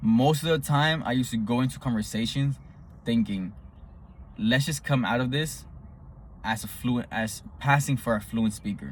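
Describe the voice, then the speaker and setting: At a moderate pace, a somewhat breathy man speaks with ordinary pitch variation and long, frequent pauses. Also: medium pitch for a man. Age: 20s. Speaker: vlogger who stutters. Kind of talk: personal advice monologue. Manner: halting, with repetitions and fillers; casual.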